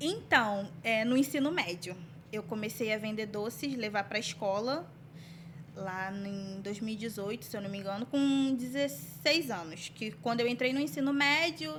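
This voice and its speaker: A woman talks with a fairly high pitch and very wide pitch swings. Her pace is fairly slow. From Brazil, Duque de Caxias. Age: 20s. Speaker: bakery business owner. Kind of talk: interview.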